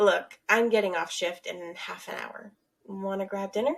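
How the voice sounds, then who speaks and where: A woman speaks at a moderate pace in a raspy, put-on character voice with a medium pitch. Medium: read story. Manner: teasing, warm.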